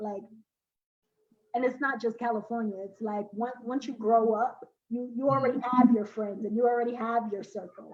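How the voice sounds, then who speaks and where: A woman with an American accent, fairly high in pitch, with fairly even intonation at a moderate pace. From Brooklyn, New York. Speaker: poet and spoken word artist. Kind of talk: interview.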